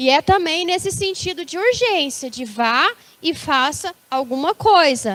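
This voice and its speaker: Speaking very slowly, a woman makes very wide pitch swings in a dry, close recording with no echo. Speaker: preacher. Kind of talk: sermon. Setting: church service.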